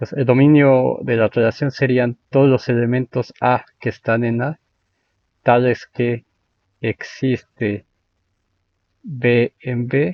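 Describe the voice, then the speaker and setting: Flat, monotone intonation goes with a very slow pace and long, frequent pauses. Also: man, medium pitch for a man. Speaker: math lecturer. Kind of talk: lecture. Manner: halting.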